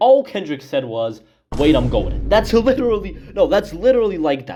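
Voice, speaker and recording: With music playing behind him, a man talks fairly fast. His pitch rises and falls across a very wide range. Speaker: music commentary youtuber. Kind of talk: opinion commentary video. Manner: animated, loud.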